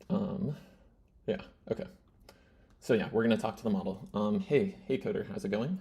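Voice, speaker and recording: A man with a dark, mellow, somewhat breathy voice swings his pitch very widely and leaves long, frequent pauses. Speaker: YouTuber demonstrating AI tools. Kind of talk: casual tutorial talking to AI model. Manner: fast; halting, many fillers.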